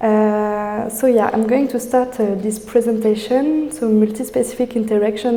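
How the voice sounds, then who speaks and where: A woman with a French accent talks at a moderate pace in a fairly high pitch, with audible room echo and noticeable background noise. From France. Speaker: PhD student researcher. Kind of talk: academic presentation. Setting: in-person talk with audience. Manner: halting, many fillers.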